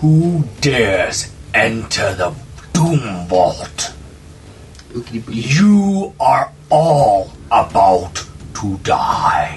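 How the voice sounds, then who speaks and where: In a put-on character voice, a man speaks fairly high at a very slow pace, with long, frequent pauses and clear background noise. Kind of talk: villain proclamation. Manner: menacing, threatening.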